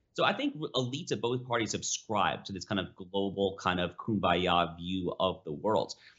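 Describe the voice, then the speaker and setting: This man has a plain, everyday voice, pitched fairly low, with ordinary pitch variation and hardly any pauses. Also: moderate pace. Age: 30s. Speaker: opinion editor. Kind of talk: interview. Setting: studio.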